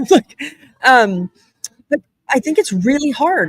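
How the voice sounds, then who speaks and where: A woman's voice swings very widely in pitch, with a dry, close sound and no echo. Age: 40s. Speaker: podcast host and business owner. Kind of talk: casual live-stream chat. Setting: live stream at a conference. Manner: fast, filler-heavy.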